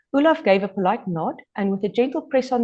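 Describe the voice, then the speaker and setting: This voice carries a South African accent at a fairly quick pace. The background is quiet. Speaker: author. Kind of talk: reading aloud. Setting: podcast interview.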